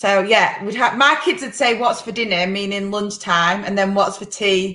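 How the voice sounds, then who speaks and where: This woman has a British accent and a bright, sharp tone at a medium pitch. Her pitch varies in an ordinary way, and her pace is moderate. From UK. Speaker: podcast host. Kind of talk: casual chat. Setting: live video stream.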